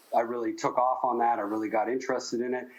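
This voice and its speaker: A man at a medium pitch speaks through noticeable background noise. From Canada, Windsor Ontario. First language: German. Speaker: jazz pianist and music professor. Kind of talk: interview. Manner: halting, many fillers and restarts.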